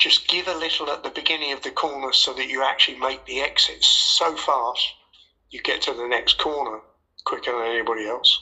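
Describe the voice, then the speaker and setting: Speaking at a fairly quick pace with an English accent, a man uses a fairly high pitch with ordinary pitch variation. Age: 80s+. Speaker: former racing driver and driving coach. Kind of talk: casual interview.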